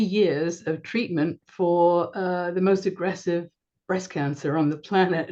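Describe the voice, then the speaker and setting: A woman with a fairly low pitch speaks at a very slow pace and with fairly even intonation. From London, England. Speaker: business coach. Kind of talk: interview.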